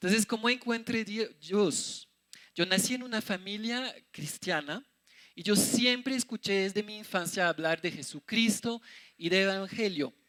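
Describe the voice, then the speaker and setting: A man with a French accent, high-pitched, with a bright, sharp tone, ordinary pitch variation and a dry, close sound with no echo. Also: fairly slow pace. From France. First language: French (speaking Spanish). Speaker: missionary preacher. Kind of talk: sermon.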